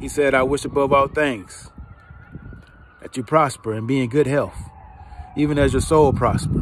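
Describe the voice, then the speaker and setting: With an American accent, a man speaks at a moderate pace and a fairly high pitch, keeping his intonation fairly even and leaving long, frequent pauses, in a dry sound with no echo over light background noise. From US South, rural south Georgia. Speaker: online preacher / inspirational video host; online preacher, inspirational video host. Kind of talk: personal testimony; sermon-style monologue. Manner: repetitive, emphatic preaching cadence. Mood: calm, reflective. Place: open country. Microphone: phone near.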